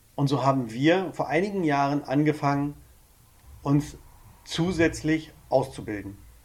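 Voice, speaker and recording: Speaking at a fairly slow pace with long, frequent pauses, a man uses a fairly high voice with ordinary pitch variation. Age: 40s. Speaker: couples counselor. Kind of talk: casual chat. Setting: studio.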